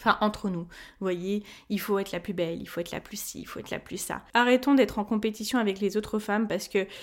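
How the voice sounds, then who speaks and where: The speech comes at a very fast pace with ordinary pitch variation on a very clean recording with a silent background. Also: woman. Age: 20s. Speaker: podcast host on personal finance. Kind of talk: solo podcast monologue.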